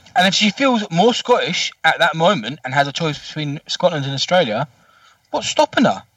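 This man talks at a moderate pace with a high pitch and lively intonation. The tone is bright and sharp, with a dry, close sound with no echo. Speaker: football podcast panelist. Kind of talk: casual chat. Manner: swearing, blunt.

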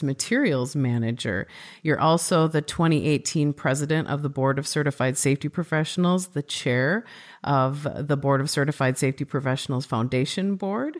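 The pitch varies in an ordinary way, with a Midwestern accent and a fairly quick pace. The recording is very clean, with a silent background. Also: woman. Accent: Midwest US. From Minnesota, US Midwest. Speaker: podcast host. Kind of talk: casual interview conversation.

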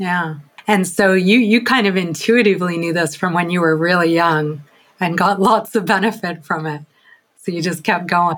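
Here a woman has a normal speaking voice, pitched fairly low. She talks at a moderate pace with ordinary pitch variation. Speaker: podcast host. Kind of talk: casual interview.

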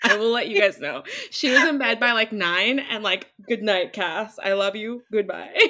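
A normal speaking voice from a woman, fairly high in pitch, with ordinary pitch variation and a moderate pace. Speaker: podcast host.

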